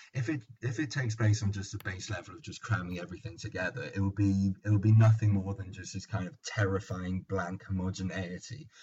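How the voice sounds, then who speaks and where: A man with a London accent, fairly low in pitch and somewhat breathy, with ordinary pitch variation, big swings in loudness, and hardly any pauses. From London, England. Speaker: podcast host. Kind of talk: casual banter podcast.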